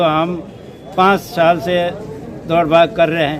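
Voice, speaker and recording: A man talks in a monotone, flat way at a fairly high pitch. Noticeable background noise is present. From Rajasthan, Barmer area. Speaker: farmer with a complaint. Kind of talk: interview.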